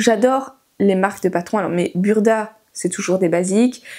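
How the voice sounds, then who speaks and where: A woman's medium-pitched, dark, mellow voice at a moderate pace with ordinary pitch variation. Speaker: sewing pattern designer, channel owner. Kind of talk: casual vlog talk to camera.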